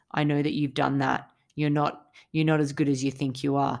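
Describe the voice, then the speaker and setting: On a very clean recording with a silent background, a woman speaks with an Australian accent. Her pitch is very deep and low. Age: 30s. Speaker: mental health podcaster. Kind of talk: casual monologue. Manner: hesitant with fillers.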